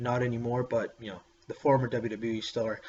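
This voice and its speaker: Noticeable background noise behind a man of medium pitch, at a moderate pace in a monotone, flat intonation. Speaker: wrestling vlogger. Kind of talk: casual vlog. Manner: halting, many fillers.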